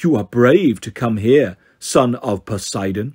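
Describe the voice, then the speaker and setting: In a put-on character voice, a man speaks at a fairly slow pace and medium pitch on a very clean recording with a silent background. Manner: menacing, charismatic.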